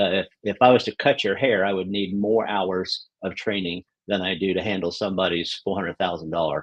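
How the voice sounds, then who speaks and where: A man with a Southern US accent speaks at a very deep, low pitch. His intonation stays fairly even. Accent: Southern drawl. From New York (Queens). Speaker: real estate broker. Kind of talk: interview.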